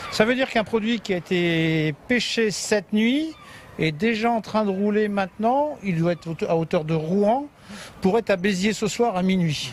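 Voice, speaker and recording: Through noticeable background noise, a man's high voice comes across with lively intonation. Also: moderate pace. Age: 60s. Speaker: fish logistics business manager. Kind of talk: on-site interview.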